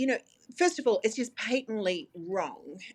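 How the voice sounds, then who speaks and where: In an Australian accent, a woman speaks at a fairly slow pace. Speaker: dietitian. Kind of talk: interview.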